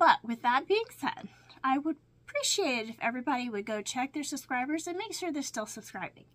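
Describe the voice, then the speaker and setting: A woman speaks at a moderate pace in a high pitch. Her pitch swings very widely. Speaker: crafting vlogger. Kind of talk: casual vlog chat. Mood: warm, reflective, laughing. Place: home room. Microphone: webcam.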